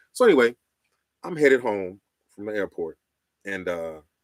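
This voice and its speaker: Animated and lively in intonation, a man speaks in a very clean, dry, close recording with no echo and a silent background. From Chicago, West Side. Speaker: radio host and storyteller. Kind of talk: live stream storytelling. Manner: casual, animated.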